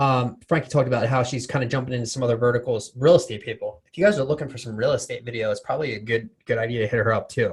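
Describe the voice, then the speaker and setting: Somewhat breathy, a man rushes along at a very fast pace. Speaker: podcast host. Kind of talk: casual interview chat.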